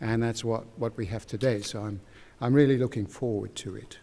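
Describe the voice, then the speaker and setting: A man talks in a dark, mellow tone. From England. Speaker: society chairman introducing symposium. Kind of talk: welcome speech. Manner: halting, many fillers.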